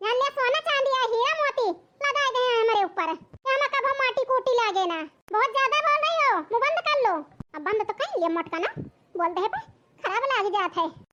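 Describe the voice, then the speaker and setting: In a cartoonish character voice, a woman talks at a fairly quick pace with an extremely high pitch, lively intonation and very even loudness. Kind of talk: village cartoon comedy dialogue.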